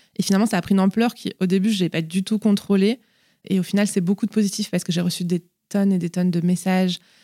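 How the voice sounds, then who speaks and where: With a dark, mellow tone at a medium pitch, a woman speaks very fast in a monotone, flat intonation, the sound dry and close with no echo in a very clean recording with a silent background. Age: 30s. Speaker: mother of a child with leukemia, pharmacist. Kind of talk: interview, personal testimony. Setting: at the host's home.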